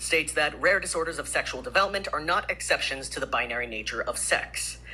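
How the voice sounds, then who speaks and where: A man talks at a fairly quick pace. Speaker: member of the public testifying. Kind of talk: public testimony. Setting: legislative committee hearing.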